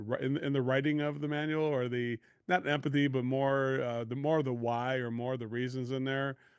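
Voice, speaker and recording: A man with an American accent and a plain, everyday voice speaks at a moderate pace in a medium pitch with fairly even intonation. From US Midwest, Chicago area. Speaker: podcast host and sales coach. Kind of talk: podcast interview.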